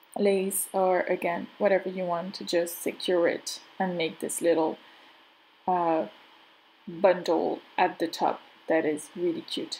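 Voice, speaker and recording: With a French accent, a woman speaks at a fairly slow pace and medium pitch, her intonation fairly even, on a very clean recording with a silent background. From France. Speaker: crafter and craft channel host. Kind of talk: tutorial. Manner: halting.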